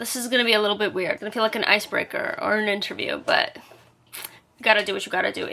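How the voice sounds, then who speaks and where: Against noticeable background noise, a woman with an American accent speaks at a fairly high pitch. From New York City, Brooklyn. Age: 20s. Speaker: vlogger. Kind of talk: casual chat. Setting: bedroom. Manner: casual, filler-heavy.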